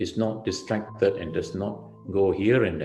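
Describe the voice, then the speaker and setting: A man speaks at a fairly slow pace. Music plays in the background, and room echo is audible. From Malaysia, Melaka. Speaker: Buddhist monk. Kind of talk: dharma talk.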